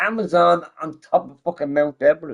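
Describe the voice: A man speaks at a moderate pace in a fairly bright tone.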